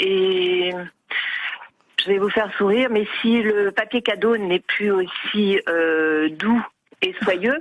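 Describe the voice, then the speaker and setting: A woman speaks at medium pitch and a very slow pace, with long, frequent pauses. Her loudness is very even and her pitch variation ordinary. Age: 60s. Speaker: caller. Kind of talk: radio phone-in testimony. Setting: phone call. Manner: animated; hesitant with many fillers.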